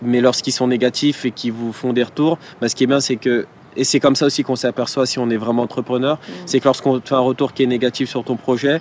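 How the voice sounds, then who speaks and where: With monotone, flat intonation and a medium pitch, a man talks at a fairly quick pace. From Paris suburbs, France (Villepinte, Seine-Saint-Denis). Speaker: entrepreneur. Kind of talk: interview. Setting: outdoor terrace.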